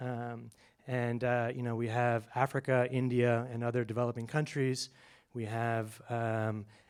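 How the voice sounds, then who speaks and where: A man talks at medium pitch and a moderate pace in a monotone, flat intonation. The recording is very clean with a silent background. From international upbringing: Washington DC, Germany, Botswana, Kenya. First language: Setswana. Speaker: public speaker. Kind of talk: short public talk. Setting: cinema stage with audience. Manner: many fillers and hesitations.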